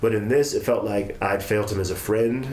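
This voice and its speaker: A man at a fairly quick pace, fairly even in intonation, over noticeable background noise. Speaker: podcast host. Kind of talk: casual conversation.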